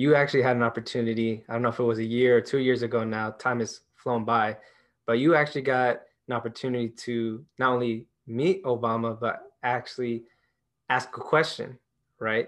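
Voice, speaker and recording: A man with an unremarkable speaking voice talks at a moderate pace and medium pitch. His intonation is fairly even, against a quiet background. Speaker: podcast host. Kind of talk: interview conversation.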